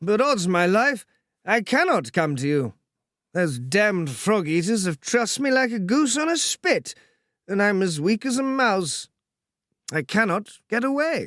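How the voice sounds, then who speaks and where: Putting on a drawling character voice, a high-pitched man swings his pitch very widely at a moderate pace, in a very clean, dry, close recording with no echo and a silent background. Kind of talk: upper-class, affected. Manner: sleepy, drawling.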